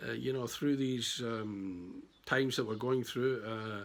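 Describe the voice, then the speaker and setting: A man with a Glaswegian accent speaks at a moderate pace. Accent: Glaswegian Scottish. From Scotland, Glasgow. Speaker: estate agent. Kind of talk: sales pitch. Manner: casual, hesitant with fillers.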